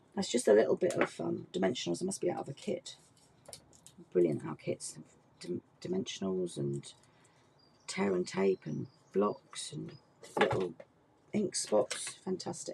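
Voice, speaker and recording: Noticeable background noise sits behind a woman who speaks at a moderate pace, broken by long, frequent pauses. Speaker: craft demonstrator. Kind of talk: tutorial. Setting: online workshop video. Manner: casual, chatty.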